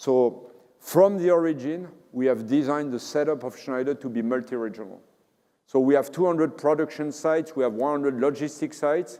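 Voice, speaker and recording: With a French accent, the speaker talks at a fairly quick pace in a dark, mellow tone with ordinary pitch variation. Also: man. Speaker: company CEO. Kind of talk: conference keynote and Q&A.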